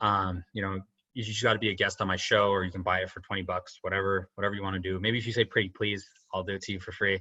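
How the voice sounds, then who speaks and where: His pitch is fairly low. The man races along at a very fast tempo. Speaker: podcast host and SEO marketer. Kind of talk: tutorial. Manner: animated.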